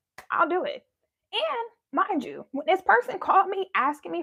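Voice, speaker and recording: An animated woman is speaking. Her pitch is extremely high. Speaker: spiritual content creator. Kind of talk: live stream monologue. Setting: live stream. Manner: casual, animated storytelling.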